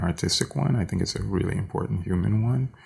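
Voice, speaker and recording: A somewhat breathy, fairly low male voice with lively intonation. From Haiti, raised in the US. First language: French. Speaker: conceptual and visual artist. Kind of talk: casual interview. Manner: halting.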